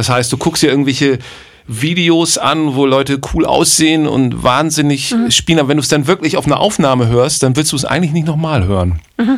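In an ordinary speaking voice, a man talks at a fairly quick pace with fairly high pitch, ordinary pitch variation and very even loudness. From northern Germany, Bremen. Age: 50s. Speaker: jazz drummer and producer. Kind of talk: casual chat.

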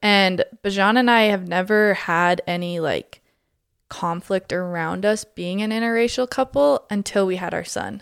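A normal speaking voice at a fairly slow pace, ordinary pitch variation, dry and close with no echo. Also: woman, medium pitch for a woman. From Alberta, Canada. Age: 20s. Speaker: mom community founder. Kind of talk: casual chat.

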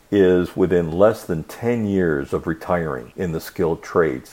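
A man with an American accent speaks at a fairly slow pace, his pitch very deep and low. His tone is dark and mellow, with ordinary pitch variation. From US Midwest (Kalamazoo, Michigan), family from Argentina. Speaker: podcast host, author. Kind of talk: solo podcast monologue. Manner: hesitant, many fillers.

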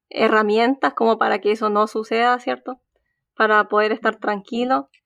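Fairly high-pitched woman's voice in a Chilean accent, fairly slow pace, dry and close with no echo, quiet background. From Chile, Concepción. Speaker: PhD student in engineering. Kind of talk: casual interview.

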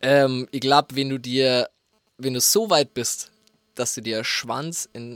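Speaking at a very slow pace, a man with a medium pitch shows big swings in loudness. The sound is dry and close, without echo. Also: ordinary pitch variation. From Bavaria, rural dialect area. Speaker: music producer. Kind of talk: casual chat. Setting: studio.

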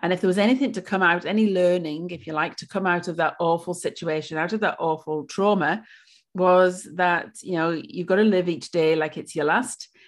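In a Welsh accent, a woman talks at a fairly low pitch with ordinary pitch variation against a quiet background. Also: fairly quick pace. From Wales. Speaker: pilates and yoga studio owner. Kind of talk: interview. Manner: hesitant, many fillers.

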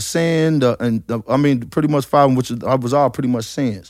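The man talks very fast, his medium pitch showing ordinary variation.

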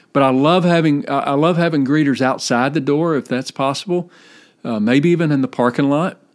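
A man speaks at a fairly high pitch and a moderate pace. The recording is very clean, with a silent background. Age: 40s. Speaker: church leadership coach and podcaster. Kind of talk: solo podcast monologue. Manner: halting, frequent word repetitions.

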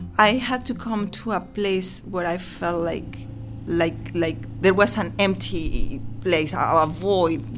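Someone with a Mexican accent speaks at a very slow pace while music plays in the background. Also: woman. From Mexico. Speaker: author and illustrator. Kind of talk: casual interview. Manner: halting, with repeated words.

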